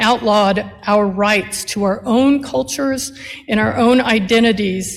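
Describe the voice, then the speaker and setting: Her pitch variation is ordinary. The woman uses an ordinary speaking voice. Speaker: attorney and nonprofit CEO. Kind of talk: commencement speech.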